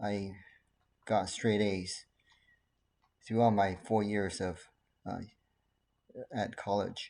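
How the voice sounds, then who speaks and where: Speaking very slowly with long, frequent pauses, a man with a Chinese accent has a fairly low pitch, a dark, mellow tone, and monotone, flat intonation. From Taiwan, then California from age 13. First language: Mandarin Chinese. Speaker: doctor, ADHD specialist. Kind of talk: casual talk to camera.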